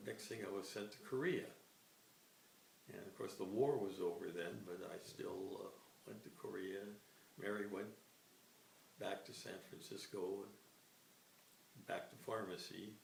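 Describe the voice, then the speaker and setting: A man at a fairly slow pace with long, frequent pauses, amid audible room echo. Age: 80s+. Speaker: retired army psychologist. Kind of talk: interview, life reminiscence. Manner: halting, many fillers and repeats.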